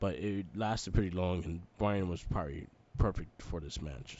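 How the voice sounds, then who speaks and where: Pitched very deep and low, a man talks at a fairly quick pace. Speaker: podcast host. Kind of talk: casual chat. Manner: casual, filler-heavy.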